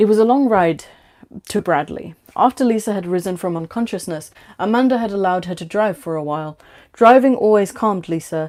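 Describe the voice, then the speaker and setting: With a British accent, a woman of medium pitch speaks with ordinary pitch variation in a very clean recording with a silent background. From Bangladesh. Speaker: livestreamer reading own fiction. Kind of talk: casual chat; reading aloud. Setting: livestream. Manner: stuttering.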